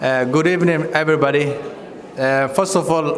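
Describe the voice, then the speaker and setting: A man at a fairly high pitch with fairly even intonation, amid audible room echo and noticeable background noise. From Kenya (refugee camps), Somali. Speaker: community leader and former candidate. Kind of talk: campaign speech. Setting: community event with audience.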